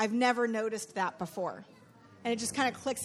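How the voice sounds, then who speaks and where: An ordinary speaking voice from a woman, fairly high in pitch with ordinary pitch variation, at a fairly quick pace over a quiet background. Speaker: church leader hosting discussion. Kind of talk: moderated group discussion.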